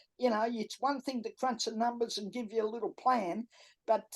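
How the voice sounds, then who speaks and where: Over a quiet background, a woman with an Australian accent speaks at a moderate pace in a fairly high, dark and mellow voice, with ordinary pitch variation. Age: 70s. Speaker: entrepreneur and author. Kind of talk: podcast interview. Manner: straight-talking.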